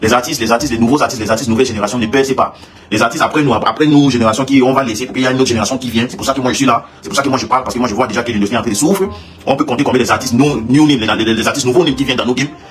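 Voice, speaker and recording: Noticeable background noise surrounds a man talking at a very fast pace. His pitch is medium, with ordinary pitch variation. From Cameroon. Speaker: singer. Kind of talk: livestream rant. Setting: live stream. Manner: halting, repetitive.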